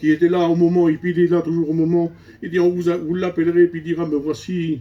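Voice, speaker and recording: A man with a high voice. He talks very fast. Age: 60s. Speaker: preacher. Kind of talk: sermon. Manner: animated.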